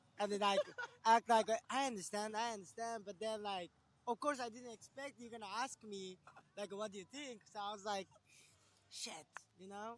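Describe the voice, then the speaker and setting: With a Japanese accent, a man speaks at a moderate pace and high pitch with fairly even intonation, big swings in loudness and long, frequent pauses. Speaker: friend of the artist. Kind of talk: casual chat on a livestream.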